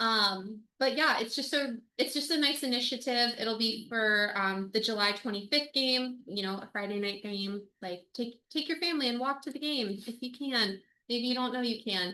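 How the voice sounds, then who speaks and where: Loud speech at a moderate pace. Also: woman, high pitch for a woman, ordinary pitch variation. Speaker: supporters' group board member. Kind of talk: meeting report. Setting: video call.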